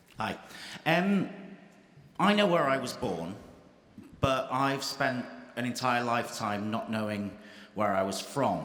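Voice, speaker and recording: With an English accent, a man of medium pitch speaks at a fairly slow pace with very wide pitch swings and long, frequent pauses, amid noticeable background noise and audible room echo. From England, Irish family. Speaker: audience member asking a question. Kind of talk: audience question at panel debate.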